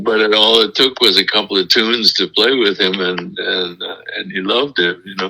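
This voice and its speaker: There is noticeable background noise behind a man with a fairly low pitch. He talks at a fairly quick pace with ordinary pitch variation. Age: 90s. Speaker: jazz bassist. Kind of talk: interview. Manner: halting.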